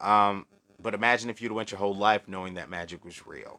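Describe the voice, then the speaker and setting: Fairly low in pitch yet bright and sharp in tone, a man speaks quickly with monotone, flat intonation in a dry, close sound with no echo. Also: very clean recording, silent background. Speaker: occult livestream host. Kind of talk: live stream chat with viewers. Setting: live video stream. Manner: casual, conversational.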